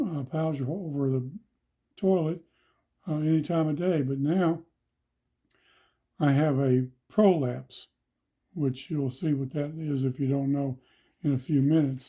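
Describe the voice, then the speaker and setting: Against a silent background in a very clean recording, a man with a fairly high, somewhat breathy, dark, mellow voice speaks at a fairly slow pace with fairly even intonation and long, frequent pauses. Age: 70s. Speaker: ostomy patient demonstrating supplies. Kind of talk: tutorial. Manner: halting.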